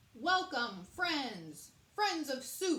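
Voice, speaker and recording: A woman puts on a character voice, pitched high and swinging very widely in pitch. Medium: read story. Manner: formal, booming announcer style.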